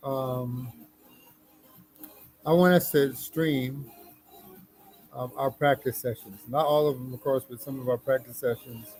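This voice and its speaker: Over music in the background, a man mumbles at medium pitch with fairly even intonation. His loudness swings widely, and he takes long, frequent pauses. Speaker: livestreamer and musician. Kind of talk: casual live stream chat. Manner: mumbling.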